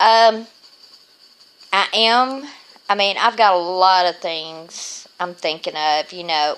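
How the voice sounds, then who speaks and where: Talking at a very slow pace, a woman with a Southern US accent uses a fairly low pitch with ordinary pitch variation. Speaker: vlogger with lupus. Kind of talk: casual video diary.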